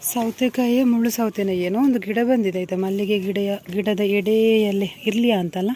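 Through noticeable background noise, a woman speaks with a fairly high pitch and fairly even intonation. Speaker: vlogger. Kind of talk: casual vlog talk. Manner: casual conversational.

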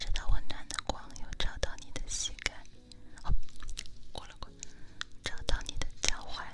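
At a moderate pace, a woman talks with long, frequent pauses. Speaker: ASMR streamer. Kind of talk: ASMR hypnosis guided relaxation, talking softly to the listener. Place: home room. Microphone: studio mic.

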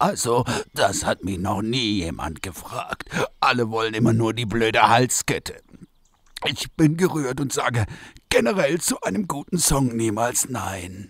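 Put-on character voice from a man, medium in pitch, moderate in pace. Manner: grumpy, self-pitying.

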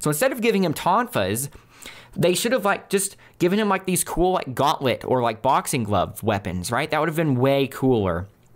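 In a very clean recording with a silent background, a man with a fairly high pitch and vocal fry speaks at a moderate pace, his pitch swinging very widely. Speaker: gaming youtuber, movie reviewer. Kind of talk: solo video review. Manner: unscripted, conversational.

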